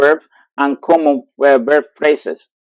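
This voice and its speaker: A man speaks with a Cuban accent. The sound is dry and close, with no echo. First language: Spanish. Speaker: language teacher. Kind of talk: lesson tutorial.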